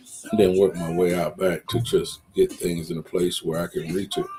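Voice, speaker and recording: At a moderate pace, a man talks while music plays in the background. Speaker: social media talk host. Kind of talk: casual livestream monologue. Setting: live Facebook video.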